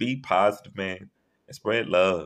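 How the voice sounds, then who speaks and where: Over a quiet background, a man with a fairly low pitch speaks with a Louisiana accent. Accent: Southern US (Louisiana). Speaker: podcast host. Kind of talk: casual chat. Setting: phone call.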